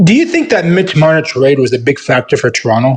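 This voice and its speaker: The man's voice is somewhat breathy. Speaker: sports show host. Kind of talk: casual talk show interview.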